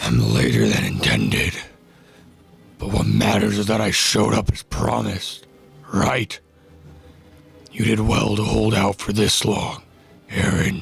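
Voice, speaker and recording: A raspy, put-on character voice moves at a moderate pace with long, frequent pauses. Faint music plays in the background. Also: man, fairly low pitch for a man. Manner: calm, confident.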